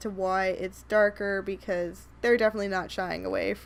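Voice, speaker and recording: A woman's voice comes through on a very clean recording with a silent background. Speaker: Sims speed-build YouTuber. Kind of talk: gameplay voiceover commentary. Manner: rambling, casual.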